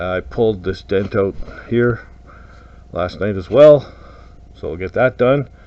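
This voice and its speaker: Speaking at a fairly slow pace with long, frequent pauses, the man has a fairly low pitch and lively intonation. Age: 60s. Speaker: car restorer and shop owner vlogger. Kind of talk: casual vlog talk to camera. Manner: relaxed with many filler words.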